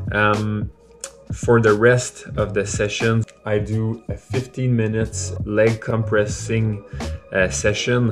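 Against clear background music, a man speaks very slowly in a fairly low voice with fairly even intonation. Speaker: cyclist vlogger. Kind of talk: casual vlog chat. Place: garage. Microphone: phone near.

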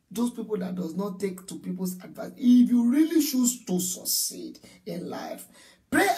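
With lively intonation and a moderate pace, a man talks against a quiet background. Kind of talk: preaching astrology talk to camera. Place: home room. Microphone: phone near.

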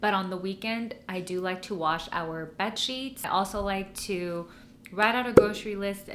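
A woman talks at a moderate pace with fairly even intonation while noticeable background noise runs behind her. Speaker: lifestyle vlogger. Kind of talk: casual vlog chat. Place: home room. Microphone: camera far.

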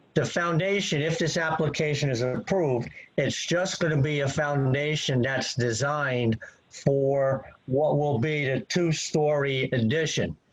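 A man speaks at a fairly slow pace in a fairly high pitch, with ordinary pitch variation and very even loudness. Noticeable background noise is present. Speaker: professional engineer and planner. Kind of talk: expert testimony at a public hearing. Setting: video call.

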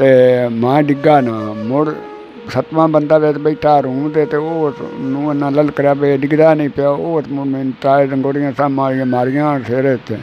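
Faint music plays in the background of this dry sound with no echo. A man speaks at a fairly high pitch with fairly even intonation. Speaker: former wrestler. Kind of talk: interview answer. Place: home room. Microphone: lapel.

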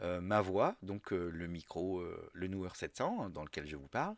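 On a very clean recording with a silent background, a man is heard in a dry, close sound with no echo. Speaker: podcaster. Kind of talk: tutorial. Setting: home office. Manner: halting, many hesitations.

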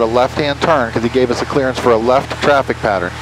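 A man talks at a very fast pace over noticeable background noise, the sound dry with no echo. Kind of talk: instructional explanation. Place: plane. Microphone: headset.

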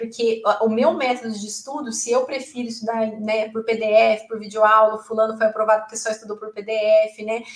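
In a quiet background with audible room echo, a woman talks at a moderate pace and a fairly high pitch. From Brazil, Londrina, Paraná; Paraná, Brazil. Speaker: public exam candidate, former student; public candidate. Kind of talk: interview testimony. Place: office. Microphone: earbuds.

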